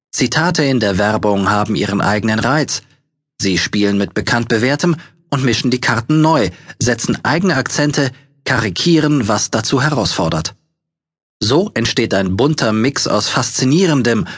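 A man with a medium-pitched, unremarkable speaking voice talks at a moderate pace, his intonation lively and his loudness very even. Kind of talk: audiobook narration with sales-pitch urgency.

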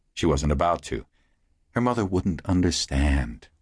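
Against a quiet background, a man with a very deep, low pitch and vocal fry talks at a moderate pace with lively intonation. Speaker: audiobook narrator. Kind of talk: audiobook dramatic narration. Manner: animated; dramatic.

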